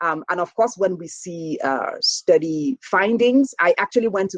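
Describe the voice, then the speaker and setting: Lively intonation marks a woman with a Nigerian accent talking at a moderate pace. The sound is dry and close, with no echo. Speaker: professor and health researcher. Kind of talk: keynote lecture. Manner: conversational, with frequent fillers.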